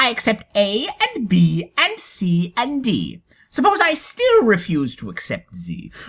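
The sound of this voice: A woman performs a put-on character voice at a medium pitch with a fairly bright tone and a slightly husky edge. Her pitch swings very widely as she speaks at a fairly slow pace.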